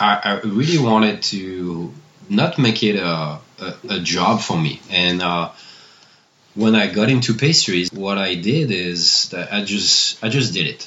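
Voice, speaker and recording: A man with a French accent and a fairly low pitch speaks at a fairly slow pace with lively intonation. Noticeable background noise runs behind him. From Annecy, France. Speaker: bakery owner and chocolatier. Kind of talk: interview conversation.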